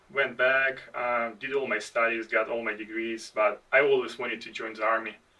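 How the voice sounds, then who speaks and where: At a moderate pace, a speaker talks with an American accent. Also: man. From outside the United States. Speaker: army veteran, podcast co-host. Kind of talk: casual chat. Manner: halting.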